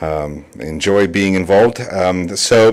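With a Russian accent, a man speaks in a very deep, low voice with ordinary pitch variation. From Russia (Moscow), in US since 1988. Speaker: public commenter, council seat candidate, speech instructor. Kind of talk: public comment at council meeting. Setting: city council chamber. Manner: hesitant, many fillers.

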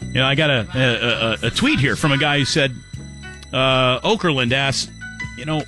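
Clear music plays in the background as a man speaks at a medium pitch, the sound dry with no echo. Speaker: sports radio host. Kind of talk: sports talk radio. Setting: studio. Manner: casual, wry. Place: studio.

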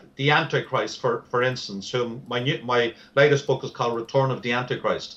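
With a Dublin accent, a man at a medium pitch talks at a moderate pace with fairly even intonation. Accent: Irish (Dublin). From Ireland, Dublin. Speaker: author on Bible prophecy. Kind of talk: interview.

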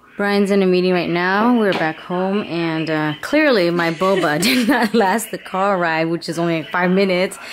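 A woman talks at a moderate pace with ordinary pitch variation and hardly any pauses. Background noise is noticeable. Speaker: vlogger. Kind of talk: casual vlog chat. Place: home room. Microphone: phone near.

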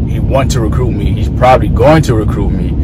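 A man is heard through loud background noise, the sound dry with no echo. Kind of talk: casual vlog chat. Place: car. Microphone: phone near.

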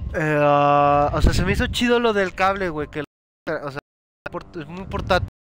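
Speaking in a Mexican accent, a man has a fairly high voice and an animated tone. His pace is fairly slow, with lively intonation. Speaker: gaming streamer. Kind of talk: casual chat. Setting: live stream with online party chat.

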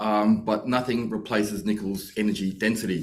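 The man's pitch sits fairly low, and he keeps a moderate pace. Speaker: mining company executive. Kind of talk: company presentation. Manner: hesitant, many fillers. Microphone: webcam.

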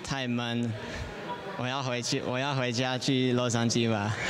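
A man speaks over noticeable background noise. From California, USA. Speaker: tennis player. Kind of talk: interview answer. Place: hall. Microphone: handheld.

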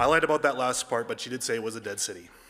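This man's voice sits at a medium pitch and has a bright, sharp tone.

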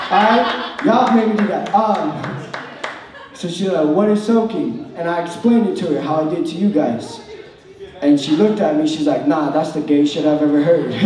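Amid light background noise and audible room echo, a man speaks at a moderate pace with lively intonation. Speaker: stand-up comedian. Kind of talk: stand-up comedy routine. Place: stage.

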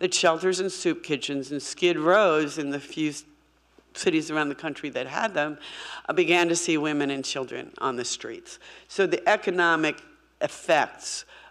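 Moderate pace, ordinary pitch variation, and a quiet background. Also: woman, very deep, low pitch for a woman. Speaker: speaker. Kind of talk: lecture. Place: hall. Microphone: podium.

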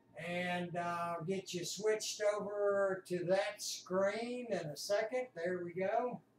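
A man's high-pitched voice with fairly even intonation, audible room echo and light background noise. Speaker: amateur radio hobbyist. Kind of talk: casual vlog chat. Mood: cheerful, relaxed. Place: home room.

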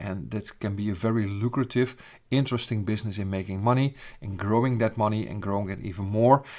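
Very fast speech from a man, fairly low in pitch and with fairly even intonation. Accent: Dutch. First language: Dutch. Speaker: business founder and coach. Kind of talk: sales pitch. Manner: hesitant with filler sounds.

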